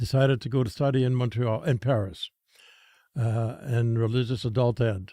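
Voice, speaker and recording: A dark, mellow tone at a moderate pace, with fairly even intonation, on a very clean recording with a silent background. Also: man, medium pitch for a man. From Saskatchewan, Canada. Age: 80s+. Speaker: former priest, gang outreach founder. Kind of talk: casual interview. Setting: studio.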